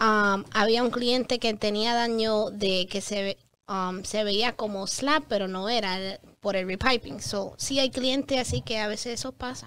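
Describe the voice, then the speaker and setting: A woman speaks at a fairly slow pace in a fairly high pitch with ordinary pitch variation. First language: English (speaking Spanish). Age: 20s. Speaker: public adjuster; guest. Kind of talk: interview. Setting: studio. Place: studio. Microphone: studio mic.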